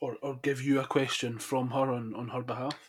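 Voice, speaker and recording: A man speaks in a central Scottish accent at a medium pitch and a moderate pace. His intonation is fairly even, and the recording is very clean with a silent background. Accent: Scottish, Falkirk. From Falkirk, Scotland. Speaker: podcast host. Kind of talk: casual interview.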